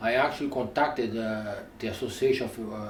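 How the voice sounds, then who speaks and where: Audible room echo surrounds a man talking in a non-native accent. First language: not English. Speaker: news cameraman reviewing cameras. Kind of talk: product review. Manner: halting.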